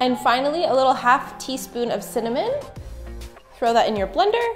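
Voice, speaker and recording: A woman at a fairly quick pace over faint music in the background. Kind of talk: cooking tutorial. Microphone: camera far.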